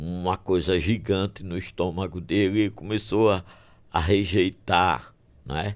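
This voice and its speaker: This man's voice sits very deep and low, with vocal fry and ordinary pitch variation. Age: 70s. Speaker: physician. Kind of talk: podcast interview.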